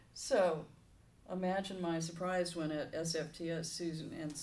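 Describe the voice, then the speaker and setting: There is audible room echo as a woman with an American accent speaks at a fairly slow pace. Her pitch is fairly low and her intonation fairly even. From Southern California. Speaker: retired minister. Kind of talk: interview.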